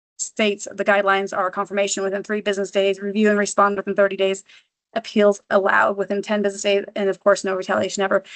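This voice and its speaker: A woman speaks very fast at a medium pitch, her intonation flat and monotone, in a dry, close sound with no echo. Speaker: office manager giving staff training. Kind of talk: training presentation. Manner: halting, many ums and restarts.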